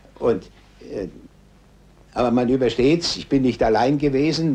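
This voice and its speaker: A man talks at a medium pitch, his pitch varying in an ordinary way. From Germany. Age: 60s. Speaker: war veteran. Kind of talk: interview answer.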